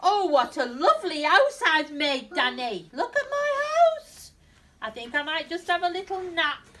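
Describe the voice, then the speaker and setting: In a cartoonish character voice pitched extremely high, a woman speaks at a moderate pace. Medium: puppet show. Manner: cheerful, excitable.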